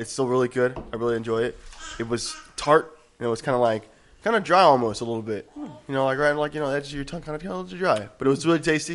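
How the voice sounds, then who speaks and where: Speaking at a very fast pace with ordinary pitch variation, a man with a fairly high voice is heard over noticeable background noise. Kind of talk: casual chat over drinks.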